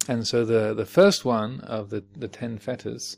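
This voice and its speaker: Here a man speaks with a southern English accent. His pitch is medium and his intonation fairly even. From Home Counties, England. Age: 50s. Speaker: Buddhist teacher. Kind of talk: dharma talk. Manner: halting.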